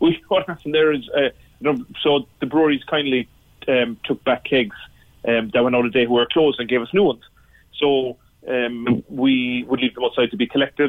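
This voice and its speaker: With a Cork accent, a man at medium pitch speaks at a fairly quick pace with fairly even intonation. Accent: Cork Irish. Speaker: pub owner. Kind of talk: radio phone-in interview. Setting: phone call. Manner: halting.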